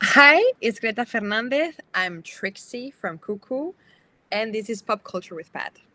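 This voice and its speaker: With a Spanish accent, a woman speaks at a fairly slow pace in a fairly high, bright and sharp voice with lively intonation, the sound dry and close with no echo. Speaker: actress. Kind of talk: interview. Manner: halting.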